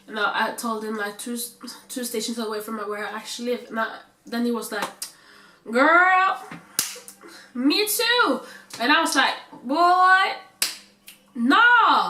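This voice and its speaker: Speaking at a fairly slow pace with long, frequent pauses, a high-pitched woman shows very wide pitch swings and big swings in loudness over noticeable background noise. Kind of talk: casual storytime talk to camera. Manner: casual, chatty.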